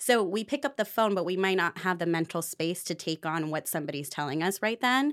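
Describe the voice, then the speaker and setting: A woman with a fairly low pitch, lively intonation and an animated tone, at a fairly quick pace with hardly any pauses, in a dry, close sound with no echo on a very clean recording with a silent background. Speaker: co-host of a podcast. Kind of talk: casual chat between friends. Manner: animated, laughs often.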